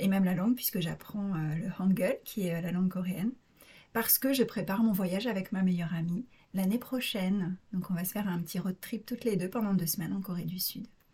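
Somewhat breathy and dark, mellow in tone, a woman at a medium pitch talks at a fairly quick pace with ordinary pitch variation. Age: 30s. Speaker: naturopath. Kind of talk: interview testimony. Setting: recording at host's home.

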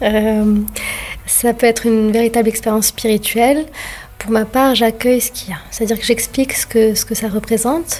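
Noticeable background noise sits under a woman's voice. She has a fairly high pitch, a moderate pace, and fairly even intonation. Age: 40s. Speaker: doula. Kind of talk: interview. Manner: calm.

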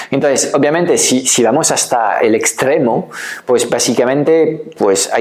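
A man's speech comes at a moderate pace with ordinary pitch variation, while noticeable background noise plays behind it. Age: 50s. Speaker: online business coach. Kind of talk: educational video talk. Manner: hesitant with filler sounds.

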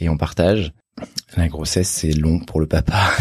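Somewhat breathy, a man speaks at a fairly slow pace with a very deep, low pitch and a dark, mellow tone. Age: 30s. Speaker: doctor. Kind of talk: testimony. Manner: halting.

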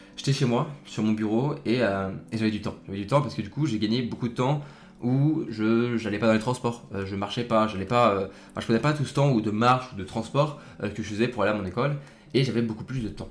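Man at a medium pitch, fairly quick pace and ordinary pitch variation. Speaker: podcast host, student. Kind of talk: casual solo talk. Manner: halting, many fillers; relaxed.

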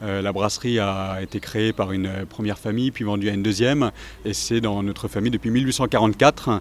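Noticeable background noise sits under a man's fairly low voice, which keeps a fairly even intonation. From Alsace, France. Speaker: brewery director. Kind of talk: interview. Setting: outdoors.

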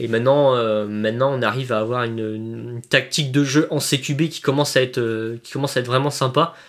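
On a very clean recording with a silent background, a man with an unremarkable speaking voice and medium pitch talks at a fairly quick pace, his intonation fairly even and his loudness swinging widely. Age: 20s. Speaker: airsoft player. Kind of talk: casual chat.

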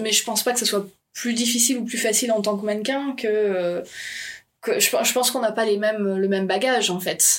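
A woman using a normal speaking voice talks at a moderate pace in a fairly high pitch with ordinary pitch variation. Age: 30s. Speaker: model and comic artist. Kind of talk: casual interview.

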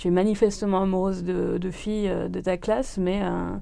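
A woman speaks at a moderate pace in a medium pitch, with a dark, mellow tone and fairly even intonation. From northern France. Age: 30s. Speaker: medical secretary. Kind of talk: testimony. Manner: halting, many hesitations.

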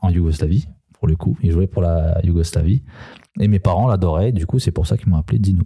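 This man has a very deep, low pitch and a dark, mellow, somewhat breathy tone, speaking at a fairly quick pace with very even loudness and ordinary pitch variation. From Paris suburbs (Seine-Saint-Denis). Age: 20s. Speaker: former basketball player. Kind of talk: casual chat. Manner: halting, many fillers.

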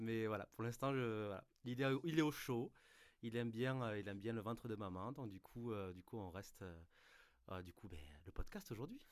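Pausing long and often, a man with a southern French accent speaks at medium pitch with ordinary pitch variation. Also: moderate pace. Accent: southern French, sing-song. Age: 30s. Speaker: music fan, band member. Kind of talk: casual chat.

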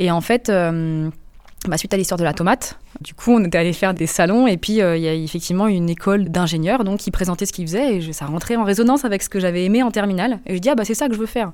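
A woman with a medium pitch delivers her words very fast. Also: ordinary pitch variation. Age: 30s. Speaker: environmental consulting engineer. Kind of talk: interview. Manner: lively.

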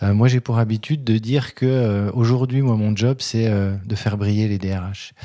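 With a dark, mellow tone, a man of medium pitch speaks at a fairly slow pace and with fairly even intonation. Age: 50s. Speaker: HR recruiter and entrepreneur. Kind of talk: casual interview. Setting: in host's office.

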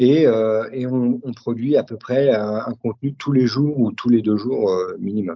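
A man speaks at a very slow pace with a medium pitch. His intonation stays fairly even. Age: 40s. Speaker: leather craftsman and brand founder. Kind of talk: casual interview. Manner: halting, many hesitations.

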